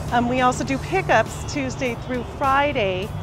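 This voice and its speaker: Clear music plays in the background of this dry, echo-free recording as the speaker goes at a fairly slow pace. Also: woman. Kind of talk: interview answer. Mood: friendly, smiling. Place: shop. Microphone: lapel.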